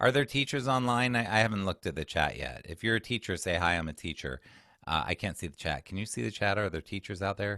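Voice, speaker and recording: In a dry, close recording with no echo, a man talks fairly quickly with a bright, sharp tone, vocal fry and lively intonation. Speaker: executive function coach and former teacher. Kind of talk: webinar presentation. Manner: fast.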